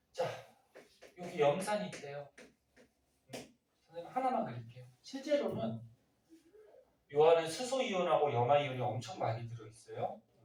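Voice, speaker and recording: Fairly high-pitched male speech at a moderate pace, with very wide pitch swings, big swings in loudness, long, frequent pauses and audible room echo. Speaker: science teacher. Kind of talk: classroom lecture. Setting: classroom with students. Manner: muffled by face mask; conversational, questioning.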